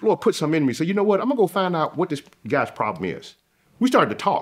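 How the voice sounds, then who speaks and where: A man with a Southern US accent, talking at a very fast pace with vocal fry and very wide pitch swings. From US South. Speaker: salesman. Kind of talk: casual conversation.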